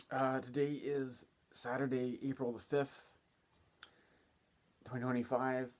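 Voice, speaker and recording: A man talks quietly at a medium pitch and a fairly slow pace. His intonation is monotone and flat, with long, frequent pauses. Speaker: astrologer. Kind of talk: casual monologue. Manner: quiet, keeping voice down.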